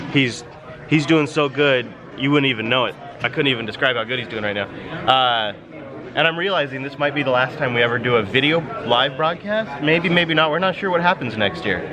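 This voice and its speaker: Noticeable background noise and audible room echo accompany a man talking at a fairly quick pace and fairly high pitch. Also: ordinary pitch variation. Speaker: vlogger and tech podcast host. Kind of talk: vlog commentary. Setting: tech conference floor, indoors. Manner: loud; animated.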